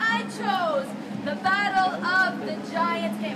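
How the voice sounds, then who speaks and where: Loud background noise is present. A woman talks through it. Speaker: emcee / event host. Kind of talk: live event hosting, crowd-energizing emcee. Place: garden. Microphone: handheld.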